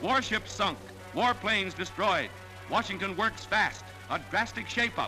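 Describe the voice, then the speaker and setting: With music in the background, a man speaks in a raised, projected voice that is high in pitch, at a moderate pace with fairly even intonation. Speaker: newsreel narrator. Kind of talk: wartime newsreel narration. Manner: dramatic, emphatic.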